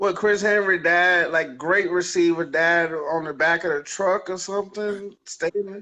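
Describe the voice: This man's voice is high-pitched, with a bright, sharp tone. He talks at a fairly slow pace, and his pitch varies in an ordinary way.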